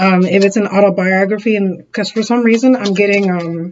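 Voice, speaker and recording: Ordinary pitch variation marks a woman talking at a fairly quick pace. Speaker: tarot reader. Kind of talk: tarot reading. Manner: fast; animated.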